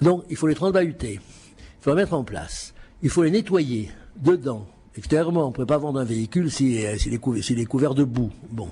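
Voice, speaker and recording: At a moderate pace, a man with a medium pitch and a dark, mellow tone speaks with very wide pitch swings and vocal fry. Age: 70s. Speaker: auctioneer. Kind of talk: lecture. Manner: halting.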